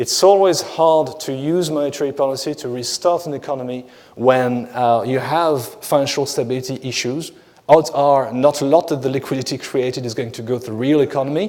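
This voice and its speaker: Speaking at a fairly quick pace, a man with a French accent has a fairly high pitch. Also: ordinary pitch variation. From France. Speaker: economist. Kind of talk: conference talk. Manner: hesitant with many fillers.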